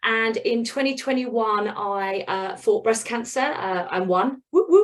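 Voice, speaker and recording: A woman with a British accent speaks in a fairly high pitch with lively intonation against a quiet background. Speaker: business mentor. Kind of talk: presentation. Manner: fast; animated.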